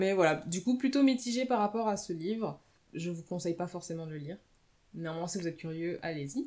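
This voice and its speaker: At a fairly quick pace, a woman uses lively intonation, her fairly low voice dark and mellow in tone. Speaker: book podcaster. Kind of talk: casual monologue book review. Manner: unscripted, hesitant.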